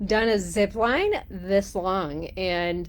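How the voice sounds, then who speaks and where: At a medium pitch, a woman is talking. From Texas. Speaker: life coach. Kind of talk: live stream casual talk. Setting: live stream from a cruise ship cabin. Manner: many fillers, halting.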